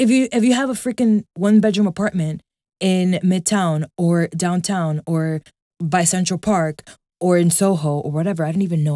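In a dry, close sound with no echo, a woman with a fairly low pitch and a dark, mellow tone talks at a fairly quick pace with ordinary pitch variation. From New York City (Washington Heights, Manhattan). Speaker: podcast host. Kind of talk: casual monologue. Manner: animated, informal with frequent fillers.

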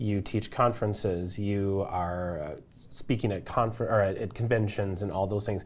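A man's normal speaking voice, fairly low in pitch, at a moderate pace with fairly even intonation. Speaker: interviewer, client success manager. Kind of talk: casual interview chat.

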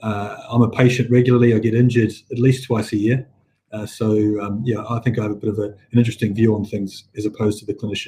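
A man talks very fast at a medium pitch with monotone, flat intonation. His tone is dark, mellow and somewhat breathy. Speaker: healthcare company chief executive. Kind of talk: casual chat. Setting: video call.

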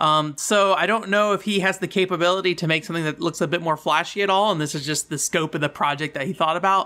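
A man with a high, bright, sharp voice talks at a very fast pace with fairly even intonation and hardly any pauses. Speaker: podcast host. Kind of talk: casual solo podcast monologue. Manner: casual, filler words.

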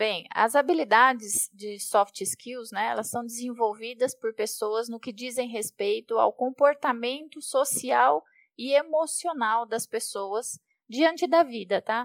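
Recorded very cleanly against silence, a woman speaks very slowly with big swings in loudness in a dry, close sound with no echo. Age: 40s. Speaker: project manager at a tech company. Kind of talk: podcast interview.

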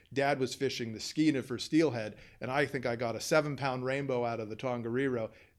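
A man with an American accent has an unremarkable speaking voice at a medium pitch, with fairly even intonation. He talks at a fairly quick pace in a very clean recording with a silent background. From Southern California, US. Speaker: fishing guide and tackle shop worker. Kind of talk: casual interview.

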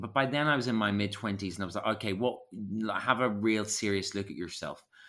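In a Belfast accent, a man talks very fast at a fairly low pitch with ordinary pitch variation. The recording is very clean, its background silent. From Northern Ireland, West Belfast. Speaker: actor, writer and acting coach. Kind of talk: casual chat.

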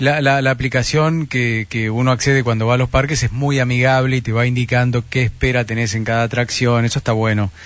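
The speaker, with an Argentine accent, talks at a fairly quick pace in monotone, flat intonation. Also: man, medium pitch for a man, hardly any pauses. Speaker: radio host. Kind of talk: radio interview.

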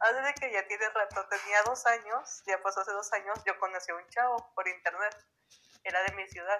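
The tone is bright and sharp. Delivery moves at a fairly quick pace with fairly even intonation. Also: woman, medium pitch for a woman. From Durango, Mexico. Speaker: stranger met on a voice chat app. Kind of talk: casual chat. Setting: app voice call.

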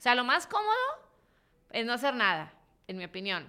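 A woman speaks with a Mexican accent in a bright, sharp tone. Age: 40s. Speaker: entrepreneur and investor. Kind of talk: casual interview.

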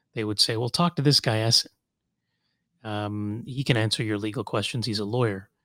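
The voice moves at a fairly quick pace, the sound dry and close with no echo. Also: man, very clean recording, silent background. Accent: Southern Californian. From Kuwait, then Los Angeles. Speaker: civil rights attorney. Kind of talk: casual interview.

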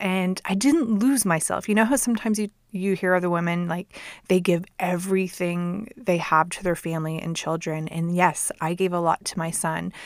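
In a very clean recording with a silent background, a woman with an ordinary speaking voice talks at a moderate pace, her fairly low pitch showing ordinary variation. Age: 40s. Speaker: podcast host. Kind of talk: casual monologue. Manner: laughs often.

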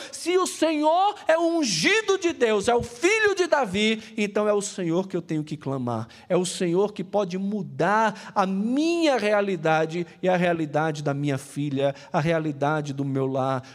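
With a Brazilian accent, a man speaks in a high voice at a fairly slow pace, with hardly any pauses. His tone is animated, with very wide pitch swings. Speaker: pastor. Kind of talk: sermon, preacher in full flow, passionate and urgent. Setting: church service. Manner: animated, emphatic, rhetorical repetition; colloquial and direct, addressing the congregation.

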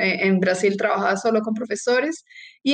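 A woman's fairly high, plain, everyday voice at a fairly quick pace, with ordinary pitch variation. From Colombia. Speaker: sports medicine physician and professor. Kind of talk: interview.

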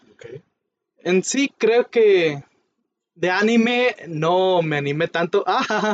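A man with a high pitch speaks at a very slow pace with long, frequent pauses. His intonation is lively. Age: 20s. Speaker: podcast co-host. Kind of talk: casual chat.

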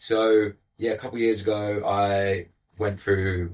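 A fairly low-pitched man with a London accent, very slow and somewhat breathy, with monotone, flat intonation on a very clean recording with a silent background. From England, East London. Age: 20s. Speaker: life coach. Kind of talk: casual chat. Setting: studio.

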